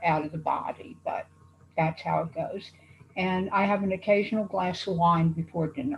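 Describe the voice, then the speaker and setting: Somewhat breathy, a woman speaks at a fairly slow pace. Her pitch is fairly low. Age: 70s. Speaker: patient panelist. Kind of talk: casual panel introduction.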